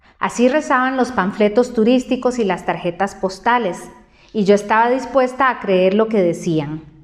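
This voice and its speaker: This woman has a plain, everyday voice, fairly high in pitch, with ordinary pitch variation and a moderate pace. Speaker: journalist and broadcaster. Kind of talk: audiobook reading.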